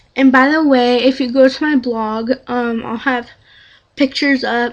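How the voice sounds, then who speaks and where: Quiet and high-pitched, a woman speaks at a fairly slow pace with monotone, flat intonation. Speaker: beauty vlogger. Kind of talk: product review.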